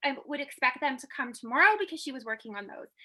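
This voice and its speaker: A woman with a high pitch raises and projects her voice, her tone bright and sharp and her intonation lively. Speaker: team leader in a makeup direct-sales business. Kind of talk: team call, motivational business update. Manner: fast.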